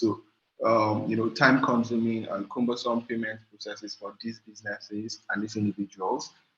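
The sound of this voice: This man's fairly low voice carries a slightly husky edge and shows little pitch movement.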